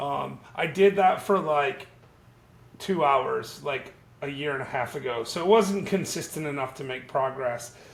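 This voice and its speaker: Pitched fairly high, a man's somewhat breathy voice moves at a fairly slow pace with ordinary pitch variation. Audible room echo fills the recording. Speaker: YouTube channel host. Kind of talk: casual interview. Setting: video call.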